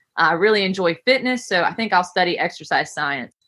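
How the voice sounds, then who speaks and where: A woman with a West Virginia accent, a fairly quick pace and a bright, sharp tone. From West Virginia, Camp Creek. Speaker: gym owner and coach. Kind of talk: podcast interview.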